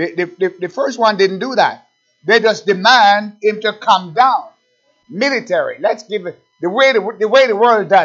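A man's high voice moves at a moderate pace, with ordinary pitch variation. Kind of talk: sermon. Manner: exhortative, urgent pulpit delivery with rhetorical questions and repetition; halting at times, with filler pauses between phrases.

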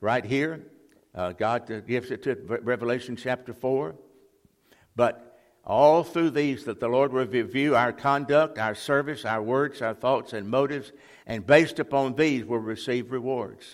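On a very clean recording with a silent background, a man with a Mississippi accent speaks at medium pitch and a moderate pace, with ordinary pitch variation. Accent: Mississippi Southern US. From US South, Mississippi (Jackson). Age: 80s+. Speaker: retired Baptist pastor, guest preacher. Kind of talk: sermon. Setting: church. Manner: halting.

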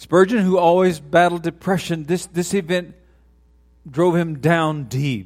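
Over music in the background, a man with an American accent speaks at a fairly slow pace, with high pitch and ordinary pitch variation. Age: 60s. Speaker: retiring pastor. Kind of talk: sermon. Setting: church.

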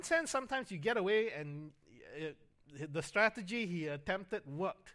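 A man's voice has a bright, sharp tone. His intonation is lively. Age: 50s. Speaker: pastor. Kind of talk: sermon. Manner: halting, frequent fillers and repetitions.

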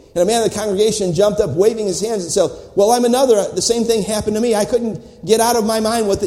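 A man's high-pitched voice, with ordinary rises and falls, comes through noticeable background noise. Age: old. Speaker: visiting preacher at missions conference. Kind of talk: sermon. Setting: church. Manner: animated.

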